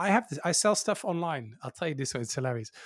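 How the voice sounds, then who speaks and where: A man talks at a very fast pace in a Dutch accent. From Netherlands. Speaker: YouTuber. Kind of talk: interview.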